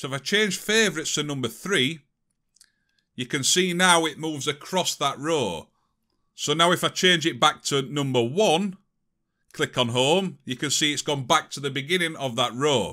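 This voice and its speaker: A man with a British accent speaks at a moderate pace in a fairly high pitch, with a bright, sharp tone. His pitch variation is ordinary, and the recording is very clean with a silent background. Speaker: tech tutorial youtuber. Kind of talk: tutorial. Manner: casual.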